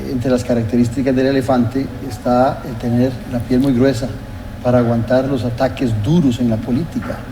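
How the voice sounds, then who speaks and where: A man of medium pitch talks at a moderate pace in a monotone, flat intonation with very even loudness. Audible room echo and noticeable background noise fill the recording. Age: 60s. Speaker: TV political talk show host. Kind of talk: TV interview.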